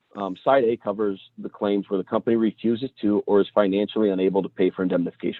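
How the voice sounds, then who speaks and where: The pace here is very fast. This man's pitch is fairly low. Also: hardly any pauses. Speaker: insurance professional. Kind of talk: webinar talk.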